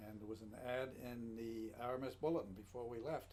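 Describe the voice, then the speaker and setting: A somewhat breathy male voice in audible room echo. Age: 80s+. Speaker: matchcover collector. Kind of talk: casual chat. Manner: halting.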